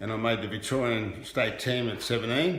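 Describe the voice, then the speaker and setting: The pace of speech is fairly slow. Noticeable background noise and audible room echo are present. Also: man. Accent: Australian. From Australia, Melbourne. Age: 70s. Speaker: former handball champion. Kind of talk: interview.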